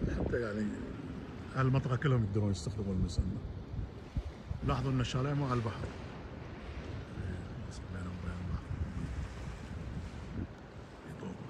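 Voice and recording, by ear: A man talks at a fast pace with long, frequent pauses, his fairly low pitch showing ordinary variation amid audible room echo.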